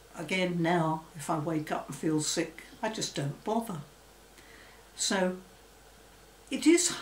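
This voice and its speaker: A woman with an English accent speaks at a fairly low pitch amid audible room echo and light background noise. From England. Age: 80s+. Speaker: former phobia sufferer. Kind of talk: testimony. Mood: calm, reflective. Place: home room.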